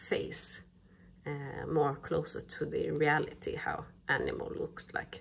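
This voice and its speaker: A woman is speaking. Her pace is very slow. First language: not English. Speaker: crochet pattern designer. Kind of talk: crafting tutorial talk-through.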